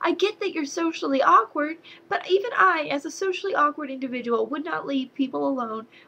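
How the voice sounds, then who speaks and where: A woman with an American accent speaks at a moderate pace in a high, raised and projected voice over noticeable background noise. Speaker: movie reviewer. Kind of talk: casual video review. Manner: animated.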